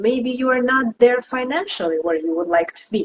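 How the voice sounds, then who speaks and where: With a Russian accent, a woman speaks at a fairly high pitch using lively intonation. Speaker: tarot reader and esoteric teacher. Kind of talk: live stream discussion.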